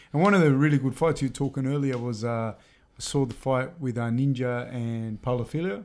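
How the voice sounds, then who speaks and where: Speaking at a fairly quick pace with an Australian accent, a man keeps a medium pitch and ordinary pitch variation. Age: 30s. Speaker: podcast host and teacher. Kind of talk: casual interview. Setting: studio.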